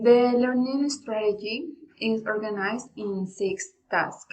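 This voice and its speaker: Somewhat breathy, fairly high female voice, its pitch varying in an ordinary way. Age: 20s. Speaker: language student. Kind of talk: class presentation. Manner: formal, partly read.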